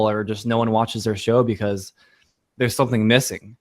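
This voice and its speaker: The recording is very clean, the background silent. A man talks. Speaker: podcaster, guest on a podcast. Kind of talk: casual interview chat. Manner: fast, sometimes flubs words; hesitant, repeats words.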